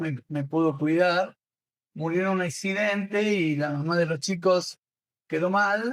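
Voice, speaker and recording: Speaking at a fairly slow pace, a man has a high pitch with ordinary variation. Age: 70s. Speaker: coaching school director and trainer. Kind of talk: interview.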